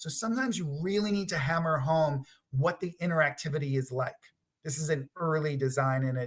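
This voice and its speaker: A man talks at a fairly quick pace in a somewhat breathy voice with ordinary pitch variation. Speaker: product designer giving a conference talk. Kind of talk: presentation.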